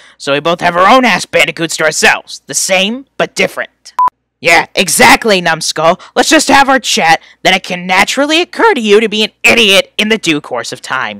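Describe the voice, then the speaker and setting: A man does a put-on character voice at a high pitch. He projects a raised voice at a moderate pace. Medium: read story. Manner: sarcastic, whiny, insulting.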